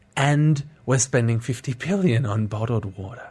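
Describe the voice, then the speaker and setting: With an Australian accent, a man speaks in a somewhat breathy voice with ordinary pitch variation. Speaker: social entrepreneur. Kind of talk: radio interview. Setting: studio.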